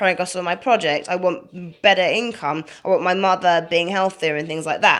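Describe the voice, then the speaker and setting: Her pitch medium, a woman talks at a fairly quick pace. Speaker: video blogger. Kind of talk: casual talk to camera. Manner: halting.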